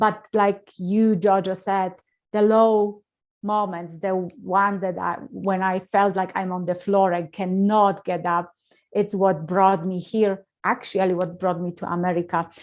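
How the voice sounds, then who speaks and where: A woman with a Polish accent speaks at a fairly slow pace in a monotone, flat intonation. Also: medium pitch for a woman. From Poland. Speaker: motivational speaker. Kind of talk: interview.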